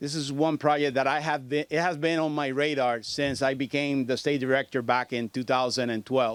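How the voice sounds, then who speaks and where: A man with a Puerto Rican accent speaks at a moderate pace in a fairly high pitch for a man, with fairly even intonation and hardly any pauses. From Puerto Rico. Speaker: federal agency state director. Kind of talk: press conference speech. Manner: halting.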